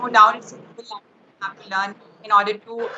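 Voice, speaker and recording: At a moderate pace, a woman speaks with an Indian accent in a monotone, flat intonation. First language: Hindi. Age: 20s. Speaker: English learner, student. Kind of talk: casual chat. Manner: halting, many fillers.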